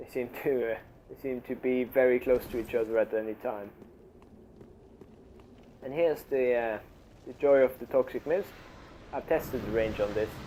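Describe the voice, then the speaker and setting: The voice has a dark, mellow tone and a non-native accent. Intonation stays fairly even, with long, frequent pauses. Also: man, medium pitch for a man, moderate pace, big swings in loudness. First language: non-native English speaker. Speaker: gamer, video game commentator. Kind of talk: gameplay commentary. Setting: low-quality home microphone.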